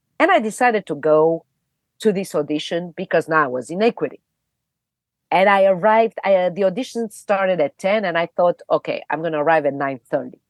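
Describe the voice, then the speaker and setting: The speaker has a non-native accent, a fairly quick pace, and ordinary pitch variation. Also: woman, fairly low pitch for a woman. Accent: foreign accent, never reduced. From Romania, Bucharest. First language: Romanian. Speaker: actress. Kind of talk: podcast interview, personal storytelling.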